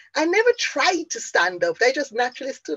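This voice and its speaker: Speaking in a Jamaican accent, this is a woman. She keeps a moderate pace. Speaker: motivational speaker and business coach. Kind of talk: motivational talk. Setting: online conference.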